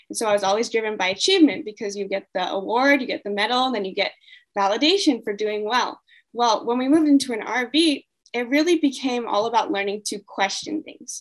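Here is a woman with an unremarkable speaking voice and an American accent. Her pitch is fairly high, her intonation lively, and her pace fairly quick. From US, California. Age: 20s. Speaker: mindset coach and traveler. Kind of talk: interview answers.

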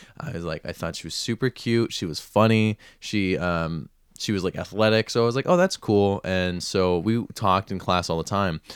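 In a very clean recording with a silent background and a dry, close sound with no echo, a man speaks at a moderate pace in a fairly low voice with a playful tone and ordinary pitch variation. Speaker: podcast co-host. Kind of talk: casual comedic banter. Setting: indoor room, little echo. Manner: joking, playful, sarcastic.

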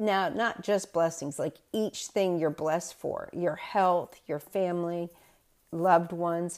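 On a very clean recording with a silent background, a woman with a Southern US accent speaks at a fairly slow pace, with fairly low pitch and fairly even intonation. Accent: Southern US (Georgia). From US South. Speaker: spiritual medium and reverend, podcast host. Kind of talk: spiritual talk and storytelling.

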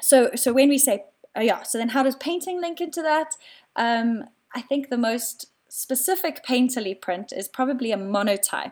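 In a South African accent, a woman talks at a moderate pace with a high pitch and lively intonation. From South Africa, Cape Town. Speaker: artist, printmaker. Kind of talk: casual interview. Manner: hesitant, many fillers.

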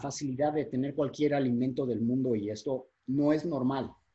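A man's fairly high, somewhat breathy voice at a moderate pace. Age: 40s. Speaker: fitness and nutrition coach. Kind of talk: interview explanation.

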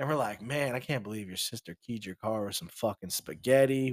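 In a plain, everyday voice, a man speaks at a fairly quick pace with ordinary pitch variation, the sound dry and close with no echo. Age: 30s. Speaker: podcast co-host. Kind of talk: casual chat.

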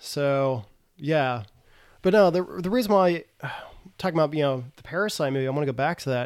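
A man with an American accent talks at a fairly quick pace, yet with long, frequent pauses and lively intonation in a fairly high voice. The recording is very clean, the background silent. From US South, Tennessee. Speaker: English teacher. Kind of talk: casual chat.

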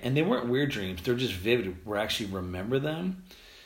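Lively intonation from a man, his voice somewhat breathy. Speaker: podcast host and tour photographer. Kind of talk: casual solo podcast monologue. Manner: fast talker; rambling, informal, filler words.

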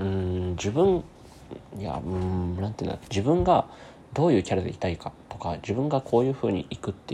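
A man's very deep, low voice, somewhat breathy, with lively intonation at a fairly quick pace. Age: 20s. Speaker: podcaster and musician. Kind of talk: casual solo monologue. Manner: fast.

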